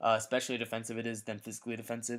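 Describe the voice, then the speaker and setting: Quiet and very fast, a man of medium pitch speaks on a very clean recording with a silent background. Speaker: gamer. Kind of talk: casual gaming commentary.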